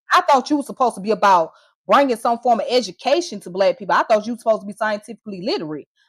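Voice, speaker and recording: With an American accent, a woman talks at a very fast pace and fairly high pitch, using lively intonation. Her loudness swings widely, and the sound is dry and close with no echo. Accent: Southern US accent, commented on by critics. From Georgia, US (Atlanta). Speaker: live streamer. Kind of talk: heated live stream rant. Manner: animated.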